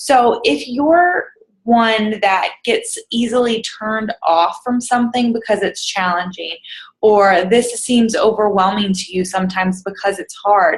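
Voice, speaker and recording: A somewhat breathy woman's voice, fairly high in pitch, with ordinary pitch variation. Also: fairly slow pace. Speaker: fitness coach vlogger. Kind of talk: casual motivational vlog. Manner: rambling, hesitant with many ums.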